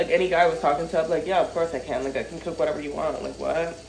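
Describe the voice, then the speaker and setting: Someone with an American accent talks at a very fast pace, with audible room echo and noticeable background noise. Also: woman. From northern US. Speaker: cooking vlogger. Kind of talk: casual chat. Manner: animated.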